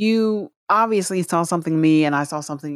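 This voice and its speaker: In an American accent, the speaker shows ordinary pitch variation on a very clean recording with a silent background. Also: woman. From US Midwest, Alton and St. Louis. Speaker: podcast co-partner. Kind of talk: casual chat.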